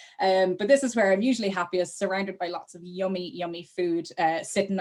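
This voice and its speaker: With an Irish accent, a woman talks at a fairly quick pace. Her pitch is medium. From Ireland. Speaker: travel company sales manager. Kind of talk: webinar presentation.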